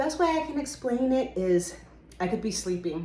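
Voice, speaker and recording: A woman with vocal fry and lively intonation, in a room with audible echo. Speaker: book and herbal video creator. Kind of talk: casual show-and-tell vlog. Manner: casual, with frequent fillers.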